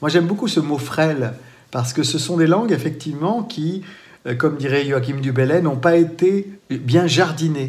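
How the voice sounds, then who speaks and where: A man speaks with a western French accent at a moderate pace, his pitch fairly high with ordinary variation. Audible room echo surrounds the voice. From France, Vendée. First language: Poitevin-Saintongeais (speaking French). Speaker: storyteller. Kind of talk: interview. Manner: hesitant, with repetitions.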